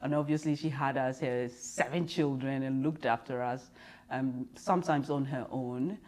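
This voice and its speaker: In a Ghanaian accent, a woman with a very deep, low pitch talks at a moderate pace with fairly even intonation. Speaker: business leader, diversity and inclusion consultant. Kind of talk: interview. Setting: in person.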